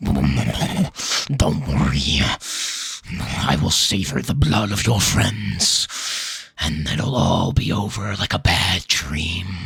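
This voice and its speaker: A man puts on a character voice that is very deep and low, drawn out at a very slow pace. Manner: menacing, gloating.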